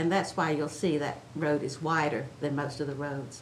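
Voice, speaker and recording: A woman with a very deep, low pitch and an American accent at a moderate pace, with audible room echo and noticeable background noise. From Chincoteague Island, Virginia Eastern Shore. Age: 80s+. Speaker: oral history interviewee. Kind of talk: oral history interview. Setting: museum.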